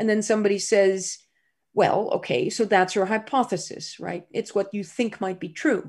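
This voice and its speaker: Somewhat breathy speech with a Dutch accent, ordinary pitch variation and a moderate pace, over a quiet background. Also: woman, medium pitch for a woman. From Netherlands, Groningen. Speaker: scientist. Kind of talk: interview.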